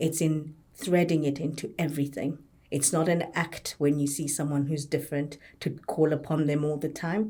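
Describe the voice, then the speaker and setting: A woman with a Zimbabwean accent speaks in a very deep, low pitch and a dark, mellow tone. The recording is very clean, with a silent background. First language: a Zimbabwean language. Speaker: occupational therapist and health service leader. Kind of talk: podcast panel discussion.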